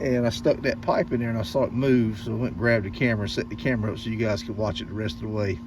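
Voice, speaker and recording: Amid noticeable background noise, a man at medium pitch talks at a very fast pace with ordinary pitch variation. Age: old. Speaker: hobbyist car mechanic YouTuber. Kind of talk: casual workshop vlog talk to camera. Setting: backyard shop, raining outside. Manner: animated.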